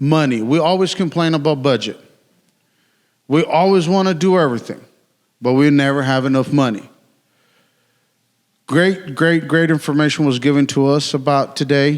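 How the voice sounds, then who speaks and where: A man with a Mexican accent speaks at a moderate pace and a fairly high pitch. He takes long, frequent pauses. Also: ordinary pitch variation. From Mexico. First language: Spanish. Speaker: city utilities worker. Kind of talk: conference talk. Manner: casual, joking.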